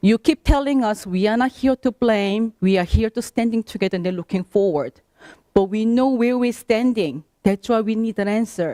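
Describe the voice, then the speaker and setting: A woman with a non-native accent, a fairly high pitch, ordinary pitch variation and a dark, mellow tone at a moderate pace, in a dry, close sound with no echo. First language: not English. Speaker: affected homeowner at public meeting. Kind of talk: public meeting complaint.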